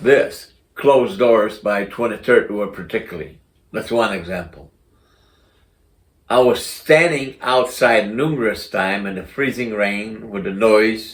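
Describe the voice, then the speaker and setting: The speaker, a man, uses an ordinary speaking voice at a fairly slow pace. His pitch is medium, with ordinary pitch variation. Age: 60s. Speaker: community advocate. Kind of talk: casual talk to camera.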